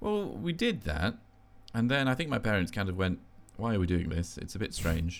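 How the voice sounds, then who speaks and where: Speaking at a moderate pace, a man uses a fairly low pitch with very wide pitch swings. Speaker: podcast host. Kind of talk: casual chat. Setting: video call.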